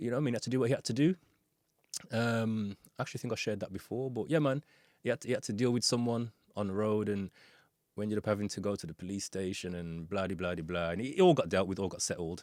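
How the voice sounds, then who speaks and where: A man speaks very fast at a fairly low pitch, with ordinary pitch variation. The recording is very clean, with a silent background. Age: 40s. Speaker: podcast host and music producer. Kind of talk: casual monologue. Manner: casual, conversational with frequent fillers.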